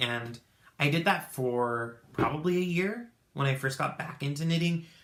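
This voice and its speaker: Fairly high in pitch, this man has a bright, sharp tone. His pitch variation is ordinary. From Tucson, Arizona. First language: Spanish. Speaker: knitting podcaster. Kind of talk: casual chat. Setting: home craft room. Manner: halting, many fillers.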